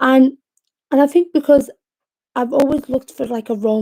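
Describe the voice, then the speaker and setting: A woman's dark, mellow tone with a Liverpool accent and fairly even intonation, on a very clean recording with a silent background. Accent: Liverpool (Scouse) English. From Liverpool, England (Yemeni family). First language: Arabic. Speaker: poet. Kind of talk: casual livestream talk. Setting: home livestream from bedroom. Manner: hesitant, many fillers.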